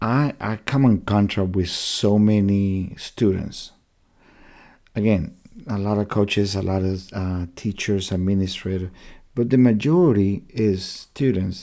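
In a very clean recording with a silent background, a man speaks at a fairly slow pace with a fairly low pitch and a dark, mellow tone. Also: fairly even intonation. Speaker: missionary and podcast host. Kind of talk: faith-based monologue podcast. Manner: soft-spoken.

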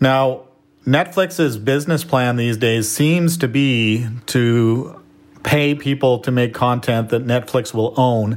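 In a Canadian accent, a man speaks at a fairly slow pace and medium pitch. It is an ordinary speaking voice with ordinary pitch variation. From Canada. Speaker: entrepreneur and filmmaker. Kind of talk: interview conversation.

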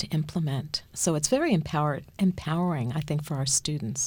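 A woman with a plain, everyday voice speaks at a moderate pace with ordinary pitch variation. The recording is very clean and the background silent. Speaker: podcast moderator and university administrator. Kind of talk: interview.

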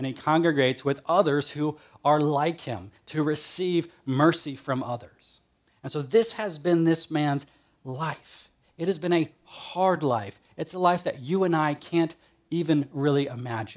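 An ordinary speaking voice at a fairly slow pace with ordinary pitch variation. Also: man, fairly high pitch for a man. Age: 30s. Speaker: pastor. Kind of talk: sermon. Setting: online church service.

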